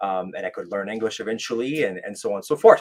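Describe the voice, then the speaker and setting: A man is speaking here. He has a French Canadian accent. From Quebec, French Canada. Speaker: military veteran and life coach. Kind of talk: podcast interview, personal story. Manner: halting, many fillers and restarts.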